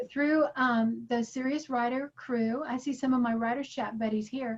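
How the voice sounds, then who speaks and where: A woman with a high voice speaks at a moderate pace, her pitch rising and falling in an ordinary way. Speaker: writing conference speaker. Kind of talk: online workshop lecture. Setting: video call. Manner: energetic.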